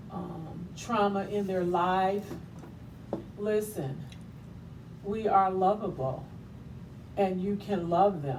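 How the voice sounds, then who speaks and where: At a very slow pace, with long, frequent pauses, a woman speaks at a medium pitch and ordinary pitch variation, her voice carrying audible room echo. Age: 60s. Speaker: talk show host and author. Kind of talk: inspirational monologue. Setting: livestream.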